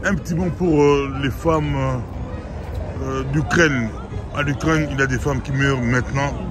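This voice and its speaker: With music behind him, a man keeps a moderate pace. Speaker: interviewer, television host. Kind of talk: interview questions. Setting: outdoors, street interview.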